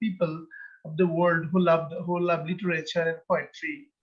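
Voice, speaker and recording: Speaking in a Bengali accent, a man with a high pitch keeps a moderate pace. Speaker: poet. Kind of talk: interview. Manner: halting.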